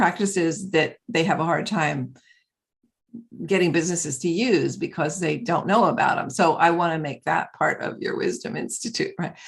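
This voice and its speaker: Vocal fry runs through this woman's fairly low voice, which has ordinary pitch variation. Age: 70s. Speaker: author and mentor, former data scientist. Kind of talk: interview. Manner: halting.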